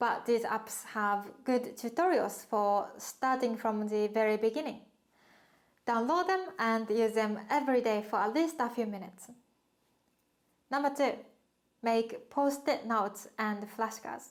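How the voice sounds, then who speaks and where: With a Japanese accent, a woman speaks fairly slowly at a fairly high pitch, with ordinary pitch variation and long, frequent pauses. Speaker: language teacher. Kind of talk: tutorial.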